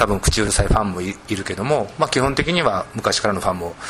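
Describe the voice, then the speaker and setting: A man's fairly low voice at a fairly quick pace, ordinary pitch variation, noticeable background noise behind it. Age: 40s. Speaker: literary critic and editor. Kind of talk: panel discussion. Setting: bookstore gallery.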